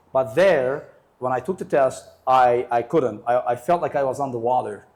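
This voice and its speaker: A man with an American accent and ordinary pitch variation is heard in a very clean recording with a silent background. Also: medium pitch for a man, moderate pace. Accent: American-sounding English, formerly Uzbek. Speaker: English teacher and IELTS tutor. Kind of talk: interview. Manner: casual, uses fillers and self-corrections.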